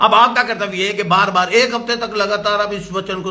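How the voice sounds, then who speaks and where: A man raises and projects his high-pitched voice with an animated tone. Audible room echo is present. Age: 70s. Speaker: pastor. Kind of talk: sermon.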